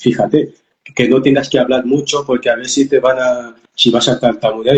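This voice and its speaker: The man's pitch is medium. He sounds somewhat breathy. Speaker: life coach. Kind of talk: interview testimony. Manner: halting, repeated syllables.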